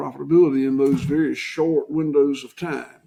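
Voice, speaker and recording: A man is speaking here. He has a Southern US accent. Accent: Southern US (Georgia). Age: 60s. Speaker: farmer. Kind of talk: interview.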